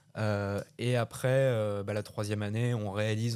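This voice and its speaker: Here a man speaks in a fairly low voice with monotone, flat intonation. The recording is very clean, with a silent background. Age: 20s. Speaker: young film director and actor. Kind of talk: radio interview. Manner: halting, many hesitations.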